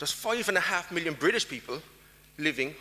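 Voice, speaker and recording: Over noticeable background noise, a man with an Irish accent talks very fast with lively intonation. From Ireland. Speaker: diaspora policy expert. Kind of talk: conference talk.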